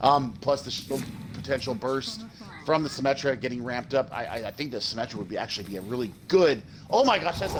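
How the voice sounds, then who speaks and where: A man's medium-pitched voice with very wide pitch swings at a fairly quick pace, over noticeable background noise. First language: not English. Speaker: esports co-caster. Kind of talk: live commentary. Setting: broadcast booth. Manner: halting, repeats words.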